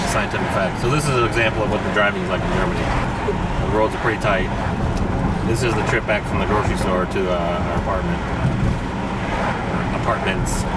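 A man rattles off his words very fast, his pitch varying in an ordinary way, with loud background noise all around. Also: dry sound with no echo. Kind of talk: casual vlog chat. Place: car.

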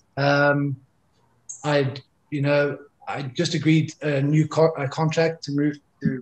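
A man talks at a fairly high pitch, sounding somewhat breathy. The background is quiet. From South Africa. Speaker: former professional rugby player. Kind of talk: interview, personal life story. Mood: reflective, candid about struggles. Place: home room. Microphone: video call.

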